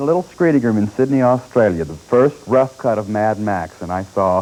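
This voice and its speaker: A man with an unremarkable speaking voice talks at a fairly low pitch. His intonation is lively and his pace fairly quick. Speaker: newspaper film critic and TV show co-host. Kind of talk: TV movie review, opinionated critic commentary.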